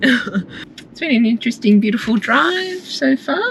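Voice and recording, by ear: A woman talks with an Australian accent against noticeable background noise.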